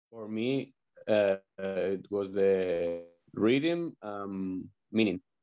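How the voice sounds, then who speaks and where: In a Spanish accent, a fairly low-pitched man speaks very slowly with long, frequent pauses, ordinary pitch variation and big swings in loudness. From Valladolid, Spain. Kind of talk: interview, casual chat. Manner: halting.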